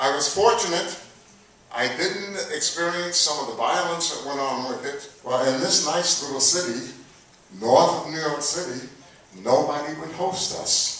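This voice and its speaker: The voice proceeds at a fairly slow pace with ordinary pitch variation. Strong room echo surrounds it. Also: man. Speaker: elder storyteller recounting civil rights-era experiences. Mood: earnest personal memories. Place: hall.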